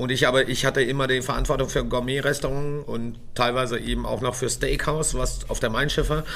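Noticeable background noise and audible room echo surround a man's voice. He speaks in a monotone, flat intonation at a fairly quick pace with hardly any pauses. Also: medium pitch for a man. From Göttingen, Germany. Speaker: chef and restaurant owner, podcast co-host. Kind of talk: casual chat.

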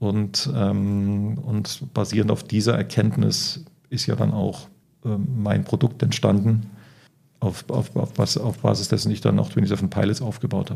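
Marked by vocal fry, a man's fairly low voice with a dark, mellow tone moves at a fairly slow pace with ordinary pitch variation. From Spain (Barcelona). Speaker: startup founder and consultant. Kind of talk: interview. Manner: hesitant fillers.

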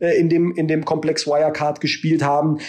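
The man speaks in a fairly high voice. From Germany, Baden-Württemberg. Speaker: politician, member of parliament. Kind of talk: interview. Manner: halting, many filler sounds.

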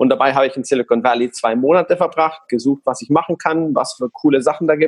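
Fairly high in pitch, a man talks at a very fast pace with hardly any pauses. His intonation is lively and the sound is dry and close with no echo. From Guatemala. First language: Spanish (speaking German). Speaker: online retailer. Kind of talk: casual interview.

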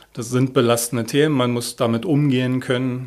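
Here is a man with a normal speaking voice. He talks at a moderate pace with fairly even intonation. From Berlin (Moabit). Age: 50s. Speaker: head of a homicide department. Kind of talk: interview.

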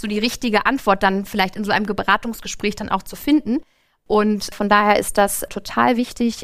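A woman speaks at a moderate pace with a fairly high pitch and fairly even intonation in an ordinary speaking voice. The recording is very clean with a silent background. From northern Germany, Lübeck. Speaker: bank branch manager. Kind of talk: live podcast interview. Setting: stage with live audience.

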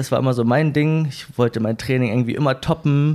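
This man has a normal speaking voice, pitched medium. His intonation is fairly even. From northern Germany. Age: 20s. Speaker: running community leader and event organizer. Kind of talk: casual interview.

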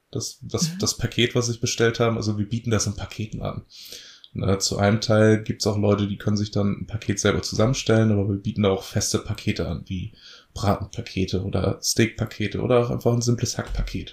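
This man's voice sits fairly low, with vocal fry running through it. He talks at a fairly quick pace with fairly even intonation. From northern Germany, Lower Saxony (Elbmarsch near Lüneburg). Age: 20s. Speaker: farmer. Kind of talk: interview.

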